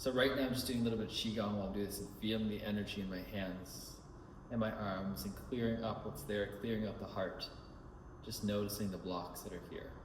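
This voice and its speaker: A man's fairly low voice at a fairly quick pace with ordinary pitch variation, audible room echo and noticeable background noise. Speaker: life coach recording personal reflection. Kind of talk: spoken self-reflection monologue. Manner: fast.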